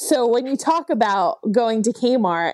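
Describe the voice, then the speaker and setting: A woman's dark, mellow tone comes through dry and close with no echo, on a very clean recording with a silent background. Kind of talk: casual chat.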